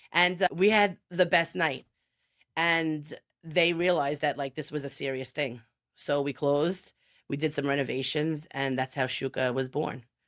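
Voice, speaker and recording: In a Brooklyn accent, a woman talks at a moderate pace with a very deep, low pitch and ordinary pitch variation. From Brooklyn, New York. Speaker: chef. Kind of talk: interview answer.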